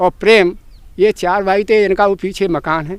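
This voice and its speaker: With ordinary pitch variation, a man speaks at a high pitch. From northern India, Uttar Pradesh village. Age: 60s. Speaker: village elder. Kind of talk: reminiscence speech to gathering.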